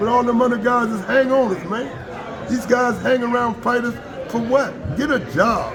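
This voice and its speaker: This man's voice sits at an extremely high pitch, and his tone is animated at a moderate pace. Noticeable background noise and audible room echo surround him. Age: 80s+. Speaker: retired boxing promoter. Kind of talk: casual interview chat.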